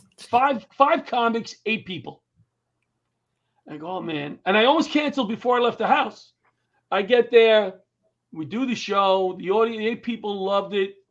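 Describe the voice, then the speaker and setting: A high-pitched man at a moderate pace, with ordinary pitch variation, big swings in loudness and long, frequent pauses, against a quiet background. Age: 60s. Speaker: comedian and comedy tour producer. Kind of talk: interview conversation.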